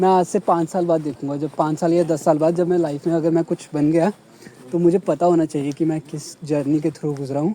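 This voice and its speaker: A fairly high-pitched man's voice in a Punjabi accent, moderate in pace, with monotone, flat intonation and a dry, close sound with no echo. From Punjab, India. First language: Punjabi (speaking Hindi). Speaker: vlogger. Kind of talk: casual chat.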